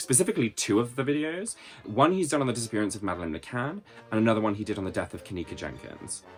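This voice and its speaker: A man with a British accent talks at a very fast pace in a fairly low voice with lively intonation while music plays behind him. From Britain. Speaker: YouTube commentator. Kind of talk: video essay commentary.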